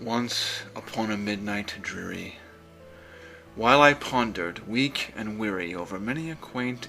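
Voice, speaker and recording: A man's fairly low voice, with lively intonation and big swings in loudness, over music in the background. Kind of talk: poetry reading. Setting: background music.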